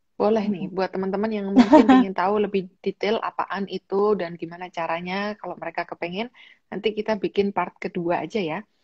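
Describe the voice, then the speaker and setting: Speaking at a fairly quick pace with hardly any pauses, a woman has a dark, mellow tone at medium pitch and fairly even intonation. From Indonesia, Malang (East Java); East Java, Indonesia. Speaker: YouTuber and livestream host; YouTuber, livestream host. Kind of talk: livestream interview. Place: home room. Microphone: video call.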